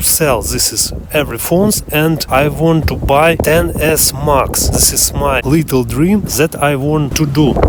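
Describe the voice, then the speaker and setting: With a non-native accent, a man talks at a fairly slow pace in a fairly high pitch with ordinary pitch variation, amid audible room echo and noticeable background noise. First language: not English. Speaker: phone collector vlogger. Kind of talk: show-and-tell video. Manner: halting.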